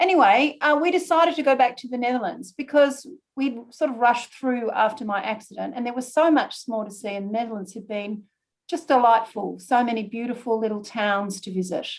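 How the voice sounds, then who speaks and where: A woman with a high-pitched voice talks at a fairly quick pace, her loudness swinging widely. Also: ordinary pitch variation. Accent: Australian. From Australia. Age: 60s. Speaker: retired barge owner presenting a talk. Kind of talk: slide presentation talk. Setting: video call.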